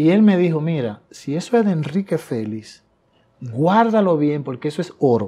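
A man's fairly high pitch with very wide pitch swings and a dark, mellow tone, at a moderate pace. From Dominican Republic, Tamayo, Bahoruco; Dominican Republic. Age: 60s. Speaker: songwriter and singer; guest. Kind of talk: interview. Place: studio. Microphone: lapel.

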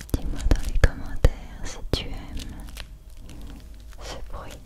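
A soft-spoken woman whispers at a moderate pace. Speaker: ASMR creator. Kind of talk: ASMR whisper. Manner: soft close-mic whisper. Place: home room. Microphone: studio mic.

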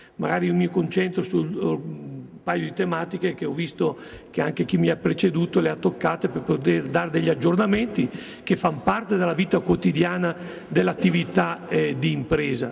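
A man's medium-pitched voice at a moderate pace, with very wide swings in pitch. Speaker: local government official; business representative on a panel. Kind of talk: panel discussion. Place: meeting room. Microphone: podium.

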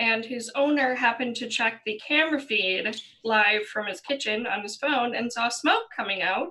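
A woman talks with hardly any pauses and ordinary pitch variation. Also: moderate pace. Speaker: YouTuber panelist. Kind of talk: casual panel discussion. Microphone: headset.

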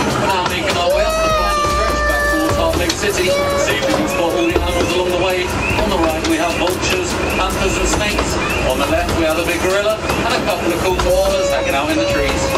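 Someone speaks at a very fast pace with music in the background. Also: man. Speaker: ride announcer. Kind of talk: tour announcement. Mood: cheerful, festive. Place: train.

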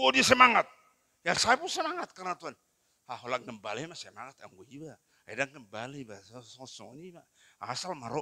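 With a bright, sharp tone and a fairly high pitch, a man speaks at a moderate pace, his pitch swinging very widely and his loudness rising and falling a lot. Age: 60s. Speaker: pastor. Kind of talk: sermon. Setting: church. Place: church. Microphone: handheld.

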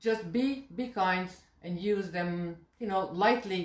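Slowly, a woman speaks with a fairly low pitch. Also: ordinary pitch variation.

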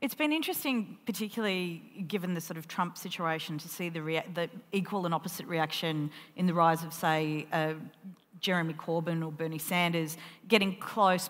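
A woman with an Australian accent, fairly low in pitch, at a moderate pace with fairly even intonation. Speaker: columnist and festival interviewer; festival interviewer. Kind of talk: onstage interview. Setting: stage with audience. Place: stage. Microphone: headset.

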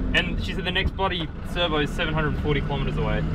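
A man speeds through his words at a very fast pace with loud background noise around him. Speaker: traveller vlogger. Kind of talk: casual vlog chat. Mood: rueful, joking. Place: car. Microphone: camera far.

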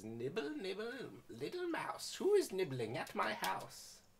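Someone does a squeaky, put-on character voice at a middle pitch and a moderate pace.

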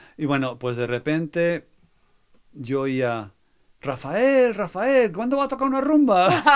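A man's high-pitched voice at a very slow pace, with very wide pitch swings and long, frequent pauses. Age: 60s. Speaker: music producer. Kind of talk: interview.

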